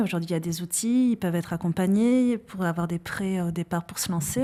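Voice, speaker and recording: A woman's medium-pitched voice with a dark, mellow tone, ordinary pitch variation, a moderate pace and a slight Basque accent. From French Basque Country, countryside. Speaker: psychologist and founder of an assessment tool. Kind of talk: podcast interview. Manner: hesitant, many fillers.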